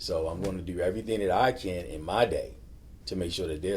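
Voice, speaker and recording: A very fast-talking man with a Baltimore accent and a very deep, low pitch, amid audible room echo. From Baltimore, Maryland. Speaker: navy chief recruiter. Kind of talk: casual chat.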